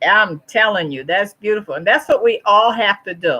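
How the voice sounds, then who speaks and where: A woman speaks at fairly high pitch. Her tone is bright and sharp. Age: 60s. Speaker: YouTuber hosting a live chat with viewers. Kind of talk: live stream chat reading viewer comments. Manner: casual, warm and encouraging.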